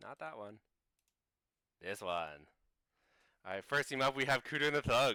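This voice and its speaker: A man with a bright, sharp tone and vocal fry talks at a moderate pace with lively intonation, big swings in loudness and long, frequent pauses, in a dry, close sound with no echo. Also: medium pitch for a man. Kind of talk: live stream show.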